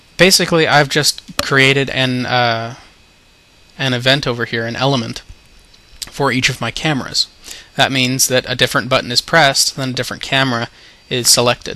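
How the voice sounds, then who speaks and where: A man's fairly quick speech with fairly even intonation, long and frequent pauses, and noticeable background noise. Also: medium pitch for a man. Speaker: game modder. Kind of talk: software tutorial narration.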